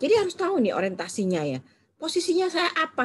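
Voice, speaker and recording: Speaking in a Surabaya accent, a woman keeps a fairly quick pace. Her pitch makes very wide swings. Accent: Surabaya accent, says it is her own. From Indonesia, Surabaya (East Java). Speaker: trainer of assessors. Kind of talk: online training lecture. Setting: recorded video with screen share, alone. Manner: fast.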